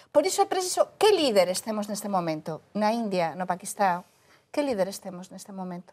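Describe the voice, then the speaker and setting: At a fairly quick pace, a woman with a Galician accent speaks at medium pitch with ordinary pitch variation and big swings in loudness. The recording is very clean, with a silent background. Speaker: journalist. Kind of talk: panel discussion.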